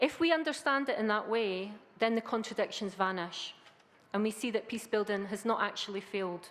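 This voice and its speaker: A woman with a Scottish accent talks at a fairly quick pace, her fairly high pitch showing ordinary pitch variation. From Scotland. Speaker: academic researcher. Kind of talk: conference talk. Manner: hesitant fillers.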